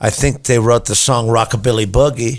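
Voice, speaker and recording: With vocal fry and fairly even intonation, a man speaks at a medium pitch. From US South, Memphis. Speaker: rock musician and songwriter. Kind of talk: casual interview. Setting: studio.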